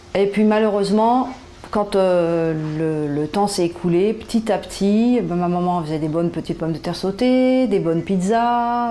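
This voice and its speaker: Her voice has a dark, mellow tone, as this woman talks at a fairly low pitch with ordinary pitch variation. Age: 60s. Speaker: patient. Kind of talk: interview testimony. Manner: hesitant, many fillers.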